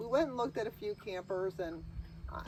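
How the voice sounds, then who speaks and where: Vocal fry in a female voice, its pitch varying an ordinary amount. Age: 60s. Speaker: RV owner and video creator. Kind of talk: casual chat.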